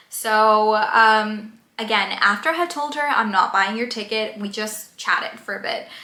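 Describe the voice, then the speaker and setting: In a room with audible echo, a woman with a fairly high pitch and ordinary pitch variation talks at a moderate pace with hardly any pauses. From Colombia. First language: Spanish. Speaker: YouTuber. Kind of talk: casual vlog storytelling. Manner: hesitant, many fillers.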